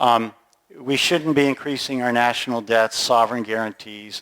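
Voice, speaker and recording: At a moderate pace, a man uses a medium pitch and fairly even intonation in a dry, close sound with no echo. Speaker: company managing director presenting at conference. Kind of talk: conference presentation. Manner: halting, many fillers.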